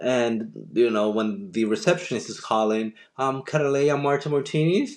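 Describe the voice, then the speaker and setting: A man with a Dominican accent talks at a fairly slow pace in a medium pitch. The background is quiet. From Dominican Republic. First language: Spanish. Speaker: journalist and TV host. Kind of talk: podcast interview. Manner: halting, frequent repetitions.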